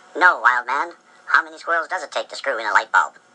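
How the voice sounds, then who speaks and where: This is a cartoonish character voice at a middle pitch. It rattles along at a very fast pace. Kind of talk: comic overacting. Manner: cheeky, wisecracking.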